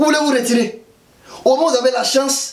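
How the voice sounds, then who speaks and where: Over noticeable background noise, a man with an Ivorian accent talks in an animated tone at a fairly quick pace. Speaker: political commentator vlogger. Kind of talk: political commentary vlog. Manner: animated, colloquial.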